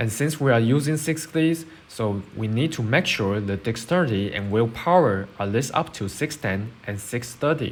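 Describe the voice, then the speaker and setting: At a moderate pace, a man speaks with a non-native accent. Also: medium pitch for a man, lively intonation. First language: not English. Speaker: game guide creator. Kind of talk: game build tutorial.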